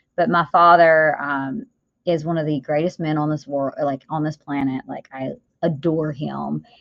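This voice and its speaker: With a Southern US accent, a woman speaks in a very deep, low pitch and fairly even intonation. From US South. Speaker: business owner and author. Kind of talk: podcast interview.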